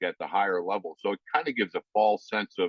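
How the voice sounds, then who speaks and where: At a moderate pace, a man with a fairly low pitch speaks in a normal speaking voice. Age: 60s. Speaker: youth baseball coach and author. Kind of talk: interview. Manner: conversational, with many fillers.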